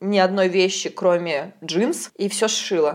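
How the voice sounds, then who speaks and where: This is an ordinary speaking voice, from a woman at medium pitch. Her intonation is fairly even. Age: 20s. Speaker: podcast host. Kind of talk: casual chat. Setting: kitchen.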